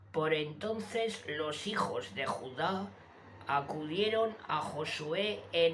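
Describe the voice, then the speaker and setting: Very slow speech with lively intonation and audible room echo. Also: woman. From Spain (Zaragoza). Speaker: YouTube channel host reading scripture. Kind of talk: reading aloud.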